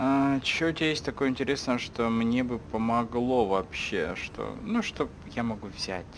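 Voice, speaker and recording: Over light background noise, a man at a medium pitch talks at a moderate pace with hardly any pauses and ordinary pitch variation. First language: Russian. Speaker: gaming streamer. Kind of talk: let's play commentary. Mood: irritated, swearing, joking.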